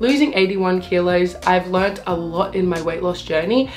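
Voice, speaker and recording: Over noticeable background noise and audible room echo, a woman with an Australian accent talks at a moderate pace and medium pitch. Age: 20s. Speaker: weight loss vlogger. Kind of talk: casual advice vlog.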